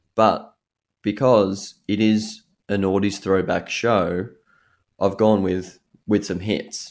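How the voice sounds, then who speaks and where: A man with an Australian accent speaks very slowly in a fairly low pitch, using flat, monotone intonation and long, frequent pauses. The recording is very clean with a silent background. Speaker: radio host. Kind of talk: radio DJ patter.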